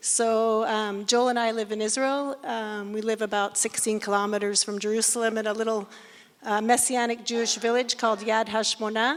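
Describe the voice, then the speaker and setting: This woman talks fairly quickly in an American accent, with fairly high pitch and monotone, flat intonation. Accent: sounds American. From Scotland. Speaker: missionary ministry worker. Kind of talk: panel discussion self-introduction. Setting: stage with audience.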